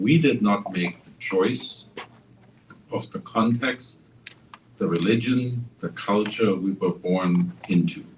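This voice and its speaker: A man with a German accent, fairly low-pitched, very slow, with long, frequent pauses, big swings in loudness and ordinary pitch variation. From Germany. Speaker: interfaith scholar. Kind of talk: panel talk.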